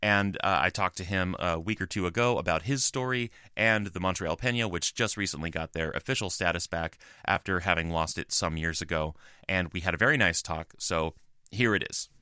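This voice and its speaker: Recorded very cleanly against a silent background, the dry, close sound carries no echo, with a bright, sharp tone, ordinary pitch variation and a fairly quick pace. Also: man. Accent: American. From US. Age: 40s. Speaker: podcast co-host. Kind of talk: casual chat.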